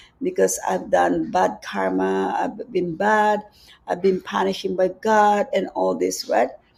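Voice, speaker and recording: This speaker has a Filipino accent and talks at a fairly slow pace. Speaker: spiritual teacher. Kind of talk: live-streamed spiritual talk. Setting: live stream on social media.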